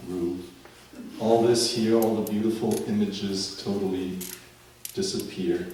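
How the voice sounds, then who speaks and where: A man with a German accent talks at a moderate pace, his pitch fairly low and his intonation fairly even. The recording has noticeable background noise and audible room echo. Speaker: author. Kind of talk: reading aloud.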